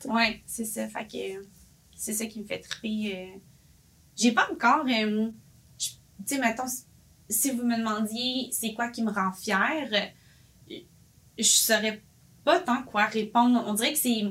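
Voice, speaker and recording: A fairly high-pitched woman at a very slow pace, with ordinary pitch variation and long, frequent pauses. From Quebec, Boisbriand. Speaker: café owner, entrepreneur. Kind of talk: casual interview.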